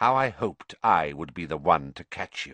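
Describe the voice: Putting on a character voice, a man talks at a fairly slow pace in a low pitch, with lively intonation, a bright, sharp tone, and a dry, close sound with no echo.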